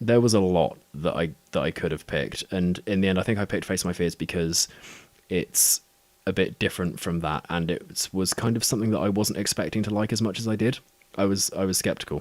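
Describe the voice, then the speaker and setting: A man with a southern English accent talks at a fairly quick pace in a very deep, low pitch with ordinary pitch variation. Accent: non-specific southern British. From Southwest England. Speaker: podcaster. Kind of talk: casual chat. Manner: halting.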